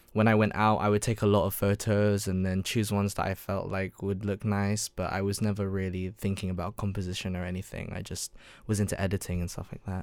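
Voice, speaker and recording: The speaker has a London accent and moves at a fairly quick pace with monotone, flat intonation. The recording is very clean, with a silent background. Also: man. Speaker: university student and photographer. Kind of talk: casual interview chat. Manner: hesitant, many ums and stammers.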